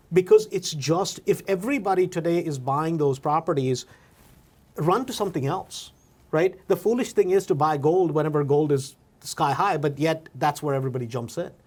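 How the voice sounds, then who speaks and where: A man with a non-native accent talks at a moderate pace, his fairly high voice showing ordinary pitch variation. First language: not English. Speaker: podcast host, real estate investor. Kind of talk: casual interview. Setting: studio. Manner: animated.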